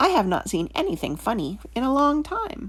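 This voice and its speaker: A female-sounding voice performs a put-on character voice at a moderate pace with a high pitch. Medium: read story.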